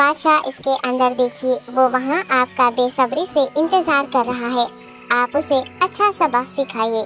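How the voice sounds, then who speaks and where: A female-sounding cartoonish character voice speaks at a high pitch and a moderate pace. Clear music plays in the background. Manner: respectful, flattering.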